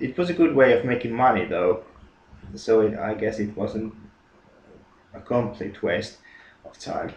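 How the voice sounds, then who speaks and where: A man with a Finnish accent speaks at medium pitch and a fairly slow pace. His lively intonation comes with big swings in loudness. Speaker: gaming YouTuber. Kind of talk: casual monologue. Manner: halting, many fillers and repetitions.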